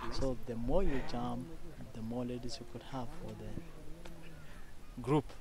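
A man's dry, echo-free speech shows ordinary pitch variation against noticeable background noise. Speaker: village guide. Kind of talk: explanatory tour talk. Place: open country. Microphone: handheld.

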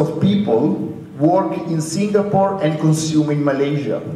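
Audible room echo carries a man's fairly high-pitched voice at a fairly slow pace, with ordinary pitch variation. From Europe. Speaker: university lecturer. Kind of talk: panel discussion. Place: hall.

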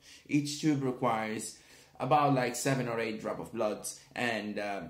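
A man's medium-pitched voice with an Italian accent, some audible room echo, and a quiet background. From Italy. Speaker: product reviewer. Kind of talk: video review. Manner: hesitant, many fillers. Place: home room. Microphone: phone near.

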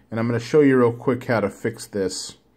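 A man's voice, with ordinary pitch variation, comes through against a quiet background. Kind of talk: tutorial. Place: home room. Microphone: phone near.

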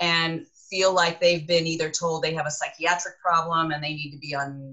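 A woman with a fairly low pitch speaks at a moderate pace in an unremarkable speaking voice against a quiet background. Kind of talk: interview answer. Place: office. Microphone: webcam.

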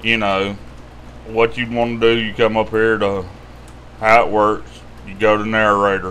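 In a Southern US accent, the speaker keeps a moderate pace and fairly even intonation, with long, frequent pauses over light background noise. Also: man, fairly low pitch for a man. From US South. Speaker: YouTube money-tips host. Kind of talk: tutorial. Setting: screen-share video. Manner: casual, rambling. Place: home room. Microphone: webcam.

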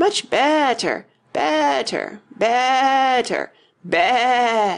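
Squeaky, high put-on character voice, female-sounding, at a very slow pace. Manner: voice rising to a squeak, ending in a sheep-like bleat.

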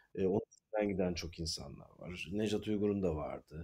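With fairly even intonation, a man speaks at a fairly low pitch and a moderate pace. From Izmir, Turkey. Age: 40s. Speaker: theatre actor, writer and director. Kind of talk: interview conversation. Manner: halting, many filler sounds.

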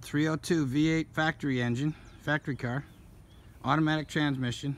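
A man speaks at a moderate pace with light noise in the background. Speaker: car seller. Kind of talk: casual walkaround commentary. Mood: matter-of-fact. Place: open country. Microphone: phone near.

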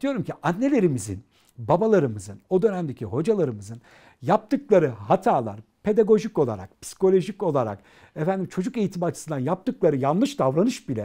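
A man talks at a fairly quick pace in a dark, mellow tone. His pitch swings very widely against a quiet background. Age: 40s. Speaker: educator and author; interview guest, educator. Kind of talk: interview. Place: studio. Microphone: lapel.

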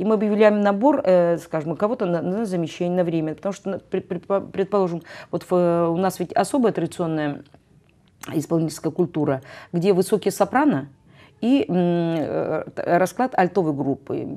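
A woman speaks at a moderate pace with a fairly low pitch. Her tone is dark and mellow, with lively intonation. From Russian North. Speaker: choir director and music professor; music professor. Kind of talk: interview. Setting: TV studio. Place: studio.

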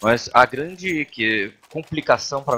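Lively intonation from a man over noticeable background noise. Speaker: color commentator analyst. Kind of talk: analytical esports commentary.

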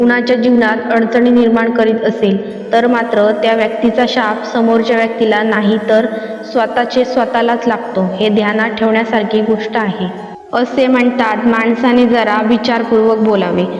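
Against music in the background, a woman speaks at a fairly high pitch in a monotone, flat way with very even loudness. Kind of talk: devotional motivational narration in Marathi.

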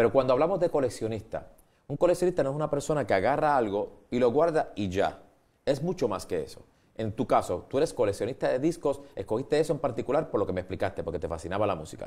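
Someone speaks very fast, with vocal fry and lively intonation. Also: man, fairly high pitch for a man. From Puerto Rico. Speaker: TV show host. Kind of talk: TV interview. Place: studio. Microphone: lapel.

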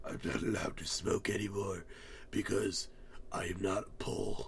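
Against clear background noise, a man uses a put-on character voice at a moderate pace. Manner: demonic.

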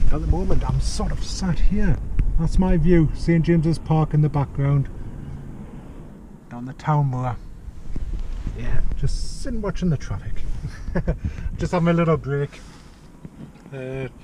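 At a fairly slow pace with long, frequent pauses, a man talks with ordinary pitch variation over noticeable background noise. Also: dry sound with no echo. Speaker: vlogger. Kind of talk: casual vlog chat. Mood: relaxed, taking a break. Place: car. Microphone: phone near.

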